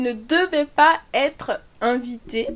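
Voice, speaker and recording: A woman speaks in an animated tone. Noticeable background noise can be heard. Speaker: YouTuber, fashion commentator. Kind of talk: casual vlog commentary.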